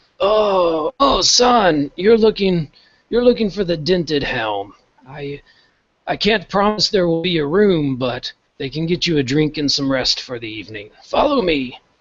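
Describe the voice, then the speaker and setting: The speaker puts on a character voice. Its pitch swings very widely. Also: man, high pitch for a man, moderate pace. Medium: actual play. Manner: hesitant, stammering.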